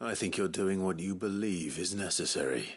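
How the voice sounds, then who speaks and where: This is a put-on character voice at a moderate pace. The background is quiet. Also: man. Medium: video game. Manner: dry, calm.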